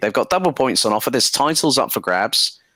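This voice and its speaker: A man talks at a fairly quick pace with a bright, sharp tone. His pitch swings very widely, with vocal fry. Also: very clean recording, silent background. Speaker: sim racing commentator. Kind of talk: interview host.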